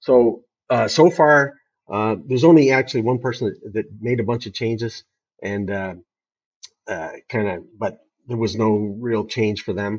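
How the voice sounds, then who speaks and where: A man talks at a moderate pace. His pitch is medium, with ordinary pitch variation. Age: 60s. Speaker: company CEO. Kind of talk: interview. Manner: halting.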